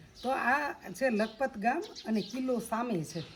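Over noticeable background noise, a woman with a fairly high pitch talks in an animated tone with lively intonation. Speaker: travel vlogger. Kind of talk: casual travel vlog narration. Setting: outdoors. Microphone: no microphone, may be hard to hear.

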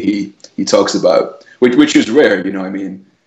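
A man with a Scottish accent speaks at a moderate pace. The background is quiet, though audible room echo can be heard. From Scotland. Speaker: entrepreneur, powerlifter. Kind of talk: interview answer. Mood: friendly, animated. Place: home room. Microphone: earbuds.

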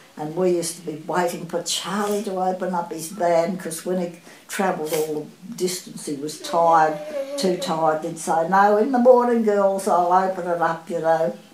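Noticeable background noise accompanies a fairly low-voiced woman who talks at an even, middling tempo, her pitch varying in an ordinary way. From Australia. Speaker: oral history interviewee. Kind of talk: oral history interview answer. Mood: fond, nostalgic. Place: home room.

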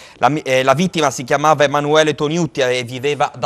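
A man talks at a fairly quick pace, and the background stays quiet. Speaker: TV news anchor and director. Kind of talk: news presenting and interviewing. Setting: TV studio. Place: studio.

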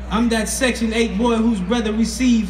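A man speaks at a moderate pace against noticeable background noise. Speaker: spoken word artist. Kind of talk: spoken word poetry performance. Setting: outdoors. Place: stage.

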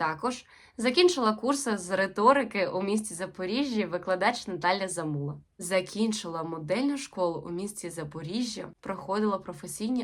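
A woman talks at a moderate pace in an ordinary speaking voice. Her pitch is medium and her intonation is lively. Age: 20s. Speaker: actress. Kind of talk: self-presentation video.

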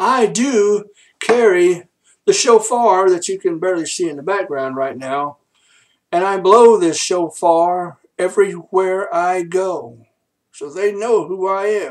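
A man speaks at a very slow pace. His pitch is high. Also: ordinary pitch variation, quiet background. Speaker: minister. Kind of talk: preaching ministry update vlog. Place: home room. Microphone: webcam.

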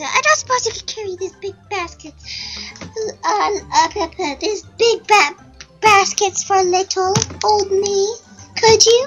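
A woman puts on a character voice pitched extremely high, speaking at a fairly slow pace with long, frequent pauses over faint background music. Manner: sweet, helpless.

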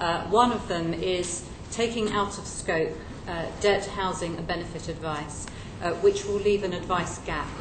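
A woman speaks at a moderate pace with ordinary pitch variation over noticeable background noise. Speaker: witness. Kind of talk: interview answer. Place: hall.

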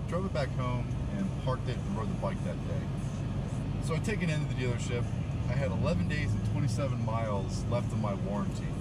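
A man's voice sounds dry with no echo amid loud background noise. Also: moderate pace. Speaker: car owner vlogger. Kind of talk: casual vlog chat. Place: car. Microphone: camera far.

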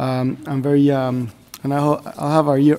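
With a Spanish accent, a man talks at a moderate pace in a dark, mellow tone and monotone, flat intonation. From Mexico. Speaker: government representative of host country. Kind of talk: formal meeting remarks. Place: meeting room. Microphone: podium.

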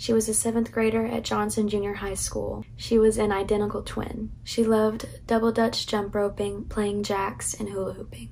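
A woman speaks at a moderate pace and medium pitch, her dark, mellow tone carrying vocal fry and monotone, flat intonation.

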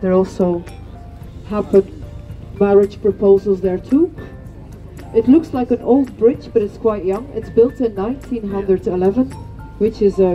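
Faint music plays in the background as a woman speaks with ordinary pitch variation and long, frequent pauses. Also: moderate pace. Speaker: boat tour guide. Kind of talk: tour guide commentary. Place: boat.

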